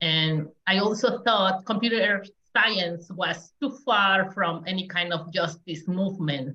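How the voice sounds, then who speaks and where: At a very slow pace, a woman with a Spanish accent speaks at a medium pitch with ordinary variation and a bright, sharp tone. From Mexico. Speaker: community engagement specialist. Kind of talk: panel talk.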